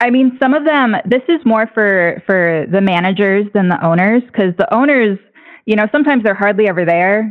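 With an American accent, a woman speaks in an ordinary speaking voice at a moderate pace, her pitch fairly high, her intonation lively, her loudness very even. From rural Texas. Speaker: caller, stripper and labor organizer. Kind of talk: call-in radio conversation. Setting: phone call.

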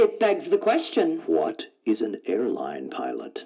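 In a put-on character voice, a man speaks fairly slowly at a medium pitch with very wide pitch swings, vocal fry and a slightly husky edge.

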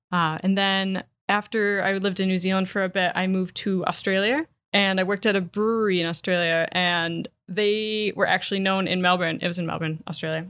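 With a Wisconsin accent, a woman talks at a fairly quick pace in a medium pitch with fairly even intonation, on a very clean recording with a silent background. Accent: Upper Midwest (Wisconsin). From Wisconsin, Door County. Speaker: certified beer expert and writer. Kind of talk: casual interview.

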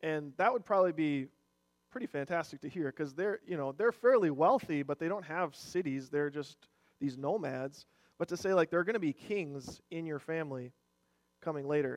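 With an Upper Midwest accent, a man speaks at a moderate pace and a fairly high pitch, with ordinary pitch variation and a dry, close sound with no echo. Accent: Upper Midwest American. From Minnesota, Rochester. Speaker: worship leader and church elder. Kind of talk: sermon. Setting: church. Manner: casual, halting with fillers.

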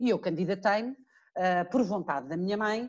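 A woman with a European Portuguese accent at a moderate pace, with ordinary pitch variation and a quiet background. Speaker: lawyer and TV legal commentator. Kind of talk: interview.

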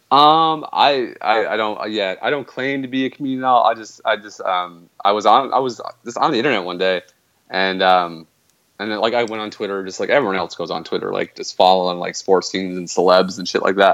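With a Canadian accent, a man talks at a fairly quick pace in a fairly low pitch with ordinary pitch variation. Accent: Canadian, noticeable to others. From Canada. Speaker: video game streamer. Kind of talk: casual interview. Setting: remote call-in.

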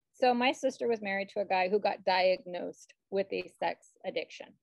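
This woman has an unremarkable speaking voice, talking at a moderate pace with ordinary pitch variation in a dry, close sound with no echo. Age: 40s. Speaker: podcast co-host. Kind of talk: casual chat.

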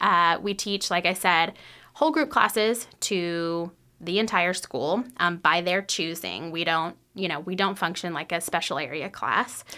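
A woman with an American accent talks at a fairly slow pace. Her fairly low voice has a bright, sharp tone and ordinary pitch variation. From North Texas. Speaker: nonprofit school program director. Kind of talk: casual radio interview. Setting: studio.

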